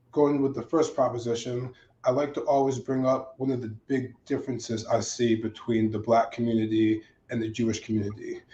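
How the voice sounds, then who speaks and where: At a moderate pace and medium pitch, a man speaks in a dark, mellow, somewhat breathy tone with fairly even intonation. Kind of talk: panel discussion.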